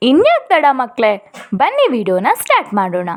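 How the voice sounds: A woman speaks at a moderate pace in a high voice, her pitch swinging very widely.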